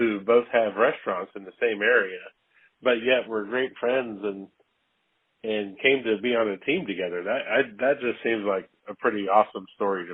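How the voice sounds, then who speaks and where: A man uses a normal speaking voice at a medium pitch, moving at a moderate pace with ordinary pitch variation. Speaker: podcast host. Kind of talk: interview questions.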